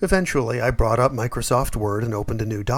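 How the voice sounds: The recording features a natural reading voice.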